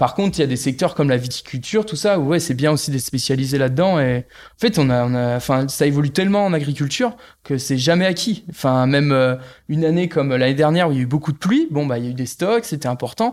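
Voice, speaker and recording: This man's delivery is very fast. Lively intonation carries it. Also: fairly high pitch for a man, very clean recording, silent background. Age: 30s. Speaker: agricultural bank advisor, former dairy farmer. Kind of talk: interview. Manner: hesitant, many fillers.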